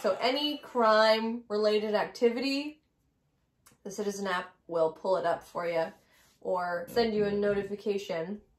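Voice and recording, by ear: With audible room echo behind her, a woman talks at a moderate pace and a medium pitch. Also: ordinary pitch variation.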